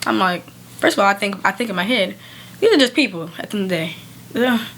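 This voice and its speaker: With noticeable background noise behind her, a woman talks at a very fast pace, her intonation lively and her tone animated. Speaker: podcast co-host. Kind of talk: casual podcast chat. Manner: loud.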